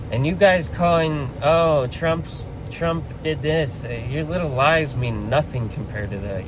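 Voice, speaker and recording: Noticeable background noise and audible room echo surround a man who speaks at a moderate pace. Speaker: political commentator. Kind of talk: political rant to camera. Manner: impassioned; halting.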